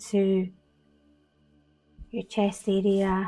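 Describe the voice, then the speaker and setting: Here a woman talks with a Scottish accent. Her voice sits at medium pitch with a dark, mellow tone. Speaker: meditation guide. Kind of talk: guided meditation. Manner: slow, soft-spoken.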